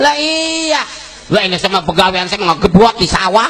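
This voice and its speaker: A man with a Jakarta accent speaks at a moderate pace in a raised, projected voice with an extremely high pitch. Noticeable background noise is present. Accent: Betawi. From Karawang, West Java. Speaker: Islamic preacher. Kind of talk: humorous religious sermon. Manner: humorous.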